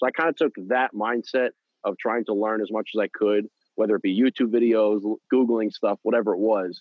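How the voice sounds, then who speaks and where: Fairly quick pace and fairly even intonation in a plain, everyday voice. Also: man, medium pitch for a man. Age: 30s. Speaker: podcast co-host. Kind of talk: casual chat.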